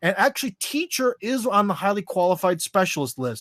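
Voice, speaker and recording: Loud and at a fairly quick pace, a man speaks with a high pitch and very wide pitch swings in a very clean recording with a silent background. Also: dry, close sound with no echo. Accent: American. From USA. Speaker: American expat commentator on Russia. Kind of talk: podcast interview. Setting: live stream. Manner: casual, many fillers.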